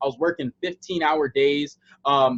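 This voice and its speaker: A normal speaking voice with an American accent, fairly even intonation and a moderate pace. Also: man. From USA. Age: 20s. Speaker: online sales presenter. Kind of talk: sales pitch. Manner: casual, with many filler words.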